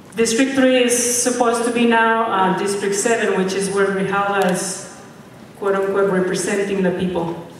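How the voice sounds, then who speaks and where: With a Mexican accent, a woman speaks at a medium pitch and moderate pace with fairly even intonation, amid audible room echo and noticeable background noise. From Mexico. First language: Spanish. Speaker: political candidate. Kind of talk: speech.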